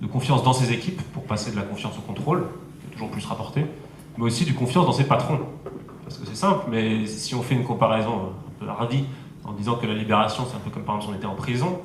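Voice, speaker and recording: A man's medium-pitched, very fast delivery with lively intonation and big swings in loudness, amid noticeable background noise. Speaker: startup and innovation consultant. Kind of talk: conference talk.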